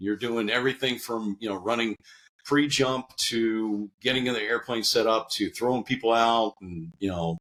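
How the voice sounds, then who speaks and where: A man with an American accent, a normal speaking voice at medium pitch, ordinary pitch variation and moderate pace, on a very clean recording with a silent background. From US Northeast. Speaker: army veteran, security consultant. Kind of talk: podcast interview. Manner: conversational with fillers.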